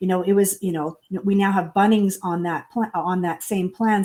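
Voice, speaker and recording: A woman talks with a dark, mellow tone and fairly even intonation. The recording is very clean, with a silent background. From Canada, southern Alberta. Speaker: author and business coach. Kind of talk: interview.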